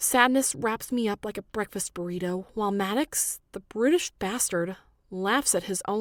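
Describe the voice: The voice reads aloud plainly. Its pitch moves in an ordinary way.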